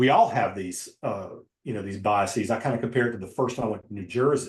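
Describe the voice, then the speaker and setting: A man with a Southern Appalachian accent speaks at a fairly quick pace in a somewhat breathy voice, with ordinary pitch variation. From Western North Carolina, near Asheville. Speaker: novelist and poet. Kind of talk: casual interview conversation.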